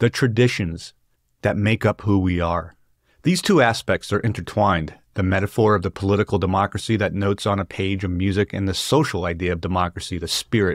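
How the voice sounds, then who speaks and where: A man's fairly low, fairly quick voice with fairly even intonation, dry with no echo, over a quiet background. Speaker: book discussion host. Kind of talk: lecture. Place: home room. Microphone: studio mic.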